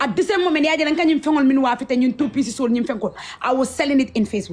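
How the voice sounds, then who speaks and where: A woman talks at a very fast pace with a high pitch and lively intonation. Noticeable background noise can be heard. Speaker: social media influencer. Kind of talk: interview storytelling. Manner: halting.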